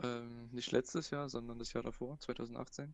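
The delivery is flat and monotone at a moderate pace. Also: man. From Saxony (Plauen, Vogtland). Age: 20s. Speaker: university student. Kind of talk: casual chat.

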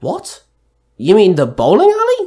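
Putting on a character voice, a man speaks fairly slowly in a high pitch with a dark, mellow tone and very wide pitch swings.

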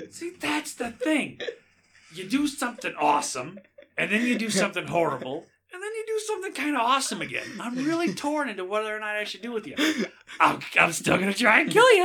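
A man's put-on character voice, extremely high in pitch, at a fairly quick pace. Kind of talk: comic character voice. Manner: casual, chatty, impressed.

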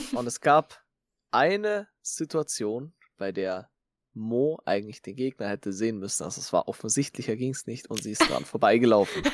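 With an ordinary speaking voice, a man at medium pitch talks at a moderate pace with lively intonation and big swings in loudness. The recording is very clean, with a silent background and a dry, close sound with no echo. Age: 20s. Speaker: podcast co-host, Twitch streamer. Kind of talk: casual chat.

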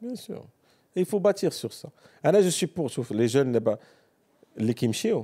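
Pausing long and often, a man speaks in a dark, mellow tone with very wide pitch swings and a dry, close sound with no echo. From Morocco. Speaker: entrepreneur. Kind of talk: casual chat.

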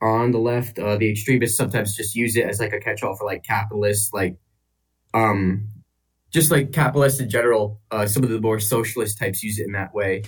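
With an American accent, a man talks in a fairly low, somewhat breathy voice using fairly even intonation. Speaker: caller. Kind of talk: call-in discussion. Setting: online voice call.

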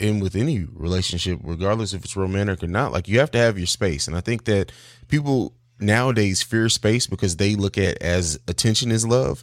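An unremarkable speaking voice: a man with an American accent, fairly low-pitched, lively intonation, moderate pace, very clean recording with a silent background. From raised overseas in Italy and Germany, US from 16. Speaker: podcast host and father. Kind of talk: casual chat.

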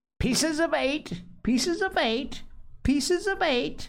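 Shrill and robotic, this put-on character voice sits at a high pitch and moves at a fairly slow pace. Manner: repetitive, mechanical.

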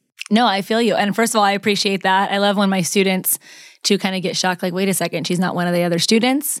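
A woman talks at a very fast pace in a medium pitch. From US West, Las Vegas, Nevada. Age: 30s. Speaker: communications professor and mindset coach. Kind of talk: interview conversation.

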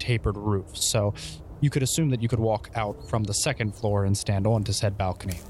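A somewhat breathy man speaks at a fairly quick pace. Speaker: game master. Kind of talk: tabletop roleplaying game narration.

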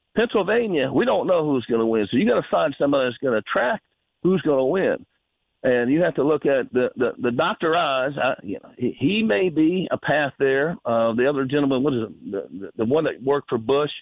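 A man with a Southern US accent talks at a fairly quick pace. His fairly high voice moves with lively intonation. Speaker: caller. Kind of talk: casual chat. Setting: phone call.

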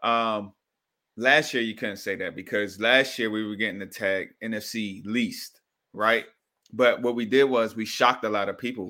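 A man talks at a moderate pace in an ordinary speaking voice. His intonation is fairly even. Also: medium pitch for a man, very clean recording, silent background. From Washington, D.C. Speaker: football fan guest. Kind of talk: casual chat.

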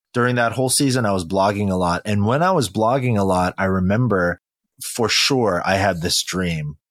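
The recording is very clean, with a silent background. A man speaks at a moderate pace in a fairly low voice with ordinary pitch variation and very even loudness. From California, Silicon Valley (moved from Korea at four). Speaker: pastor and author. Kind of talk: interview conversation.

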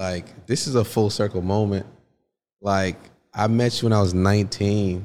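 A man with a fairly low pitch speaks at a moderate pace, leaving long, frequent pauses. The recording is very clean and the background silent. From Stamford, Connecticut (born in Haiti). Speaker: author and writing coach. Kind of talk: casual interview chat. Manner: animated.

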